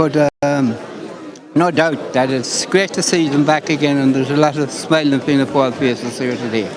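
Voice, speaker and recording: With crowd noise in the background and audible room echo, a man speaks at a moderate pace in a fairly high pitch with fairly even intonation. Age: 80s+. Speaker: local political enthusiast. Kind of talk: live interview.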